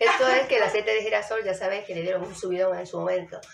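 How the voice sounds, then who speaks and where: The speech comes at a very fast pace. Audible room echo and light background noise surround it. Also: woman. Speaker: home vlogger. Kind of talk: casual vlog chat. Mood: cheerful, laughing. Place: kitchen. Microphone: phone near.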